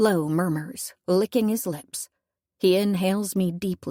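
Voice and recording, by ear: A quiet background behind reading aloud in a natural voice, the pitch varying in an ordinary way.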